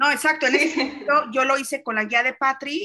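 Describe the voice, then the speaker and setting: A woman with a Mexican accent speaks in a bright, sharp tone. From Mexico. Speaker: podcast host. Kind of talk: interview.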